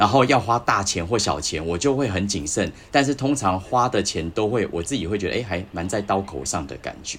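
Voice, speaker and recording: Using an unremarkable speaking voice, a man talks at a moderate pace with fairly low pitch and lively intonation. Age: 40s. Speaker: astrology podcast guest. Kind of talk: casual chat.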